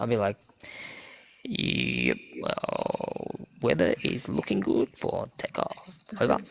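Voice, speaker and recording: A man puts on a character voice and talks fairly slowly, pausing often and at length. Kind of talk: radio pilot announcement. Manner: calm, clipped.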